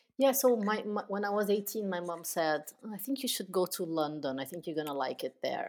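Intonation is lively as a woman speaks at a fairly quick pace. She has a Portuguese accent. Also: medium pitch for a woman. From southern Brazil, Porto Alegre. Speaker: business founder. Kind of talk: interview.

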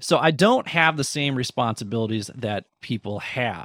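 A man speaks with very wide pitch swings. The sound is dry and close with no echo, on a very clean recording with a silent background. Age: 40s. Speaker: former educator and podcast host. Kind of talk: interview conversation. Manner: animated.

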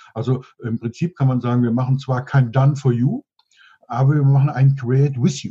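A man's somewhat breathy, dark, mellow voice at a medium pitch, fairly quick in pace, with fairly even intonation. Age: 60s. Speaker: business mentor and consultant. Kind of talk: interview.

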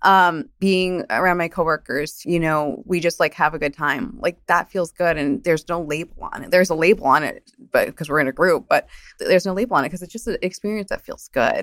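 A woman with a fairly low voice talks at a fairly quick pace in a New Jersey accent, with hardly any pauses and ordinary pitch variation. The sound is dry and close, with no echo. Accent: New Jersey American. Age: 30s. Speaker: media director. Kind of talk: interview. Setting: in person.

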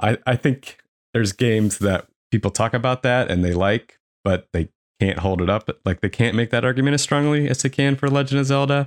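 An unremarkable speaking voice, a man at medium pitch talks fairly quickly with ordinary pitch variation and very even loudness, on a very clean recording with a silent background and a dry, close sound with no echo. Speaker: podcast editor and panelist. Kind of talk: casual panel discussion.

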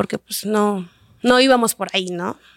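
Dry and close with no echo, a woman's voice shows ordinary pitch variation on a very clean recording with a silent background. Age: 20s. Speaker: sex education entrepreneur. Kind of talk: interview testimony.

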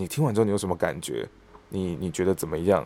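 This man talks at a fairly quick pace in a fairly low pitch with ordinary variation, captured in a very clean recording with a silent background and a dry, close sound with no echo. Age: 30s. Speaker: stage actor and voice actor. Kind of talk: casual interview.

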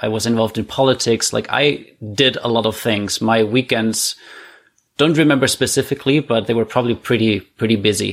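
A man with a German accent and medium pitch talks at a fairly quick pace, keeping his intonation fairly even. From Germany, Heilbronn. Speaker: guest, immigrant to Canada. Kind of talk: casual interview chat.

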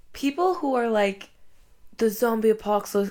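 An ordinary speaking voice from a woman at a moderate pace, with ordinary pitch variation, on a very clean recording with a silent background. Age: 20s. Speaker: guest and co-host, cousin of host. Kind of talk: casual chat.

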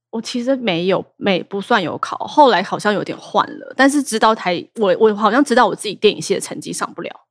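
An ordinary speaking voice runs at a fairly quick pace with hardly any pauses, lively intonation, and big swings in loudness. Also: woman, fairly high pitch for a woman. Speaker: theatre director. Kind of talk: casual chat.

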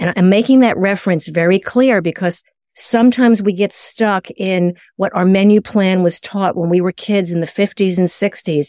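Her voice is an unremarkable speaking voice, a woman at medium pitch and moderate pace with ordinary pitch variation, in dry, close sound with no echo. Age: 60s. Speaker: nutritionist and author. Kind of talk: interview.

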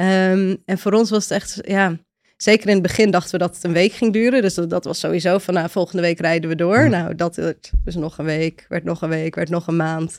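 A woman's fairly low-pitched voice, a normal speaking voice, at a fairly quick pace with ordinary pitch variation, in a very clean recording with a silent background and a dry, close sound with no echo. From Netherlands, Friesland village. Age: 30s. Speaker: volunteer traveller. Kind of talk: interview.

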